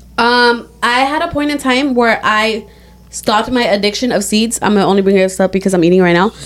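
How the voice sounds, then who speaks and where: Amid noticeable background noise, a woman talks at a fairly quick pace with a fairly high pitch and very even loudness. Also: ordinary pitch variation. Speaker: podcast co-host. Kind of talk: casual chat.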